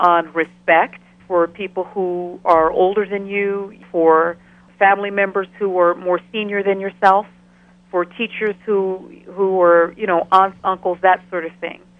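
At a fairly slow pace, a woman speaks with monotone, flat intonation. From Ghana. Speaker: professor. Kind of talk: interview. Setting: phone call.

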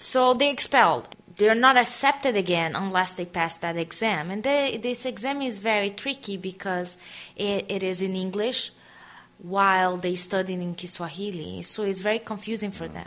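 A woman with a Portuguese accent speaks at a moderate pace. Her medium-pitched voice shows ordinary pitch variation. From Brazil, Aracaju (northeast). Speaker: interviewee, NGO worker. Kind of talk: biographical interview. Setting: radio interview.

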